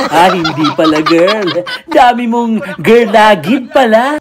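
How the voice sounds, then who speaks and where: A playful, high-pitched male voice with lively intonation at a very slow pace, over noticeable background noise. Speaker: TV news segment host. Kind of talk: comedic voice-over commentary on funny clips. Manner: playful, witty.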